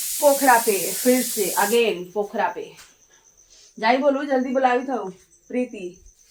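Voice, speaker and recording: A woman's high-pitched voice at a very slow pace, with long, frequent pauses and ordinary pitch variation. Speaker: vlogger. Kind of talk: casual vlog.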